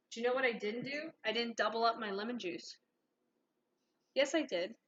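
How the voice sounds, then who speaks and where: She talks at a fairly quick pace. Her pitch is fairly high for a woman, with ordinary pitch variation. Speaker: streamer and culinary student. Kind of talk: live-streamed cooking tutorial. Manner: loud.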